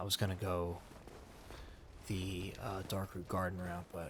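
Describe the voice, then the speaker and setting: Over noticeable background noise, a soft-spoken man talks in a very deep, low voice with monotone, flat intonation. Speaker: ASMR gaming channel host. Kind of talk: casual relaxed talk to the audience, out of role. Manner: soft-spoken, relaxing.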